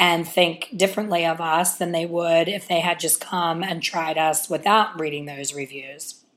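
With an ordinary speaking voice, a woman talks at a moderate pace, her fairly low pitch held in fairly even intonation. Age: 50s. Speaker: salon owner and hair color educator. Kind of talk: casual solo podcast monologue. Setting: on vacation, away from home.

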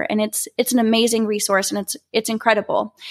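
A woman with an American accent talks at a fairly quick pace and fairly high pitch in an ordinary speaking voice, with a dry, close sound and no echo. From Oklahoma (Norman). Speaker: beauty pageant titleholder. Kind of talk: personal story monologue.

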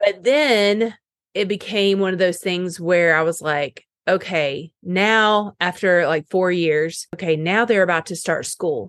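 A normal speaking voice from a woman with an American accent, medium in pitch, fairly slow, with ordinary pitch variation and a dry, close sound with no echo. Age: 30s. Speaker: health coach. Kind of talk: casual chat.

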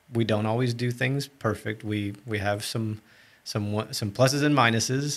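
Here is a man with an ordinary speaking voice, medium in pitch, his intonation fairly even. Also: moderate pace. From Texas (moved from Brazil at seven). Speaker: marriage ministry leader. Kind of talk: casual interview.

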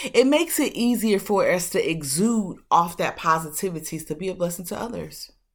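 A woman speaks at a fairly quick pace with a medium pitch and lively intonation. The recording is very clean, with a silent background. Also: hardly any pauses. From Detroit, Michigan. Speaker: podcast host. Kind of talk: motivational monologue. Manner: casual, warm.

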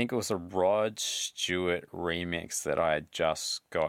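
On a very clean recording with a silent background, a man speaks at a very deep, low pitch with ordinary pitch variation. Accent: Australian. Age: 40s. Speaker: DJ and musician. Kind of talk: casual chat.

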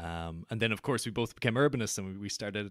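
In an Irish accent, a man speaks with a fairly low pitch. The recording is very clean with a silent background and a dry, close sound with no echo. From west of Ireland. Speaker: podcast host. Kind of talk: casual interview conversation.

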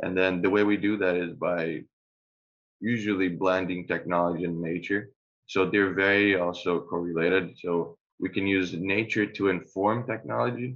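A man with a very deep, low pitch, fairly even intonation and a moderate pace. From Brazil. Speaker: architect. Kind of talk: interview.

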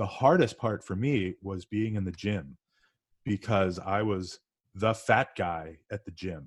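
Here a man with an American accent and a plain, everyday voice speaks at a fairly low pitch and fairly slow pace with ordinary pitch variation, in a very clean, dry, close recording with no echo and a silent background. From Northeast US. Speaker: podcast guest. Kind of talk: casual interview.

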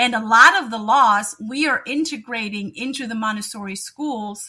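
Speaking in a German accent, a woman uses a high pitch, lively intonation and a bright, sharp tone at a fairly slow pace. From Germany. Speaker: educator and NLP coach. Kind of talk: interview.

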